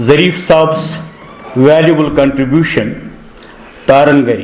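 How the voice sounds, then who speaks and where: Through noticeable background noise and audible room echo, a man speaks in a fairly high pitch with fairly even intonation. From Kashmir. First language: Kashmiri. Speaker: panel speaker at book launch. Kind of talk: prepared speech. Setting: hall with audience. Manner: formal.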